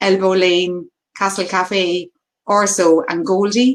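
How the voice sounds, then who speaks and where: A woman speaks in a Cork accent. Her pitch varies in an ordinary way. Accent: Cork Irish. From Ireland, County Cork. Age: 40s. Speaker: HR consultant. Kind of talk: webinar presentation. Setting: video call. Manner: animated.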